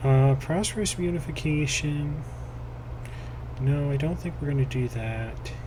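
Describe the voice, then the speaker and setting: With audible room echo and noticeable background noise, a man speaks at a fairly slow pace, leaving long, frequent pauses. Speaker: gaming video creator. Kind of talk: gameplay commentary. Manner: casual, hesitant with many fillers.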